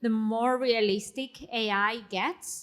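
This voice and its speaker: A woman speaks with a non-native accent at a fairly high pitch and ordinary pitch variation. The recording is very clean, with a silent background. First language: not English. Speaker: panelist, technologist and writer. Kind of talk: panel discussion. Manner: hesitant, many fillers.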